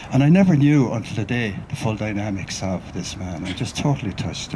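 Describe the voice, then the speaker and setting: With an Irish accent, a man talks at a fairly quick pace with a medium pitch and lively intonation amid noticeable background noise. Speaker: writer and researcher, mourner speaking at a memorial. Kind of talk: memorial tribute speech.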